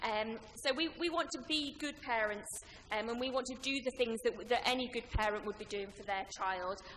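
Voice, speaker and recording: A woman's high voice with ordinary pitch variation comes through over noticeable background noise. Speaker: councillor. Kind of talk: presentation. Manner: fast.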